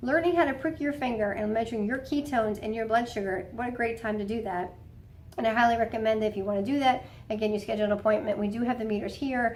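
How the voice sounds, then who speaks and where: A woman with a fairly high voice talks at a very fast pace, her pitch varying in an ordinary way. Room echo is audible around her. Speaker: health coach at a wellness clinic. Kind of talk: instructional talk to patients. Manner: casual, conversational.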